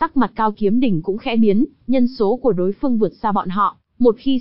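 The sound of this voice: An unforced reading voice with ordinary pitch variation comes through over a quiet background.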